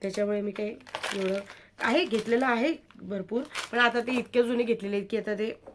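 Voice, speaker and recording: A woman with a fairly high voice and normal pitch movement talks as clearly audible noise plays behind her. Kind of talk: product showcase vlog. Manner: casual, chatty.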